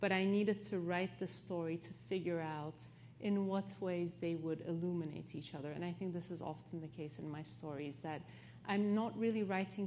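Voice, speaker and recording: In a Turkish accent, a woman with a fairly low pitch talks at a moderate pace with ordinary pitch variation and audible room echo. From Turkey, partly raised in London. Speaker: author. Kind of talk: onstage interview.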